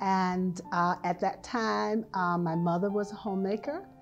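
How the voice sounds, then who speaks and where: A woman with an American accent at a medium pitch, speaking at a very slow pace over music in the background. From Hampton, Virginia. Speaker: retired prevention specialist and health teacher. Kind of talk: oral history interview answer.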